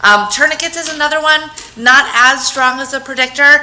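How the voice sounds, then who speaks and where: Moderate-paced speech from a woman amid noticeable background noise. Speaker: public health program coordinator. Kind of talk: conference presentation. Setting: talk with microphone to audience. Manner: loud.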